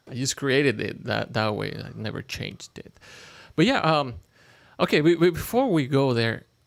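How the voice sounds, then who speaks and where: A man speaks at a moderate pace with a Mexican accent and big swings in loudness. The recording is very clean, with a silent background. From Mexico (Toluca). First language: Spanish. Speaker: podcast guest. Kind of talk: casual chat. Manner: halting, repeats words.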